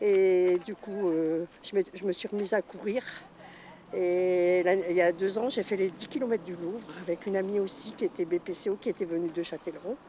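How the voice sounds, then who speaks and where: Here is a woman with a plain, everyday voice. Her medium pitch and fairly even intonation come at a moderate pace. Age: 60s. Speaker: trail participant with lung disease. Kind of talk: interview testimony.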